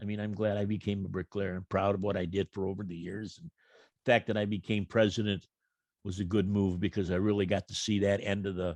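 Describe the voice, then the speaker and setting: Over a quiet background with a dry, close sound and no echo, a man speaks at a fairly quick pace, fairly low in pitch and monotone, flat in intonation. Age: 70s. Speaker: retired bricklayer and union president. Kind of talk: casual interview. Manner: halting.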